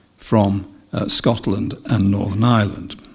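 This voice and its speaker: Against a quiet background, a man speaks with an English accent. His pace is fairly slow. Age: 70s. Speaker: retired judge. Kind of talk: lecture. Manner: formal. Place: hall. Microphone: podium.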